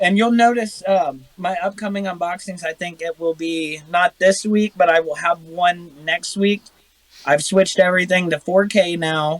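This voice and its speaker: This man has a high pitch and a Midwestern American accent. His intonation stays fairly even. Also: moderate pace, dry, close sound with no echo. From Ohio. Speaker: airsoft YouTuber. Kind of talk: casual chat.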